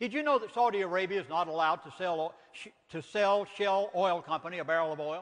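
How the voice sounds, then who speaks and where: In a Southern US accent, a man speaks at a fairly quick pace with an animated tone. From US South. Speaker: minister and author. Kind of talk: lecture.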